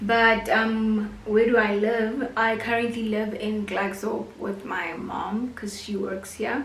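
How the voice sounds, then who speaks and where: Noticeable background noise and audible room echo accompany a woman with a Botswana accent. Her fairly high voice is very slow and monotone, with hardly any pauses. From South Africa, North West Province. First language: Setswana. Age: 20s. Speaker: YouTuber and university student. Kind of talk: casual vlog monologue.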